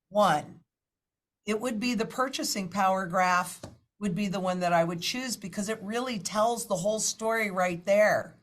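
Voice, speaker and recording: A woman speaks at a moderate pace and medium pitch, somewhat breathy, with ordinary pitch variation. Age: 60s. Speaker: financial market analyst. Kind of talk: interview.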